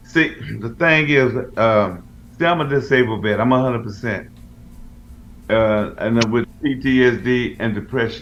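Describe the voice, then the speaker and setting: A man's medium-pitched voice at a moderate pace, with ordinary pitch variation, long, frequent pauses and audible room echo. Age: 70s. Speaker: radio co-host, military veteran. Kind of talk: casual chat. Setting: radio show.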